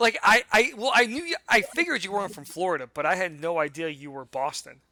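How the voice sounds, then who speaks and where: A man talks at a very fast pace in a high pitch with a raised, projected voice. His pitch swings very widely and his loudness rises and falls sharply. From Brazil. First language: Portuguese. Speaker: army veteran, podcast guest. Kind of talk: casual chat.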